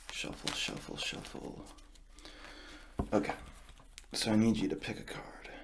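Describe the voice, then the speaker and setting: With long, frequent pauses, a man keeps a moderate pace as noticeable background noise plays behind him. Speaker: card magician roleplay host. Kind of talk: ASMR card magic roleplay. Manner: soft-spoken. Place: home room.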